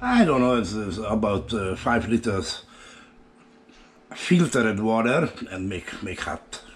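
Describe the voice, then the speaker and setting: Over noticeable background noise, a man with a Hungarian accent speaks at a fairly slow pace in a fairly low voice with lively intonation. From Hungary. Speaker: home cooking youtuber. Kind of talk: cooking tutorial. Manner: halting, many fillers.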